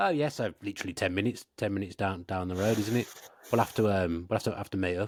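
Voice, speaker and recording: A man speaks very fast in a strong Birmingham accent, with fairly low pitch and ordinary pitch variation. The recording is very clean with a silent background. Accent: strong Brummie (Birmingham). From Birmingham, English Midlands. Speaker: football podcast host. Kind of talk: casual interview chat. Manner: repetitive, many restarts and stammered words.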